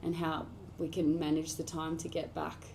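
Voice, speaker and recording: With an American accent, a woman talks at a moderate pace in a fairly low pitch and a dark, mellow tone, with audible room echo. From Australia, rural New South Wales (Inverell). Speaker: country singer-songwriter. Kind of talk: radio interview. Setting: radio studio.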